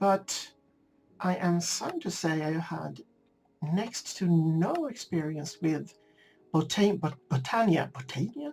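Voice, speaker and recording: A woman speaks at a very slow pace in a Swedish accent, with a fairly low pitch and ordinary pitch variation. Long, frequent pauses break her speech over music in the background. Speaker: gaming video creator. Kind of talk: casual gameplay commentary. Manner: halting. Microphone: slightly poor sound settings.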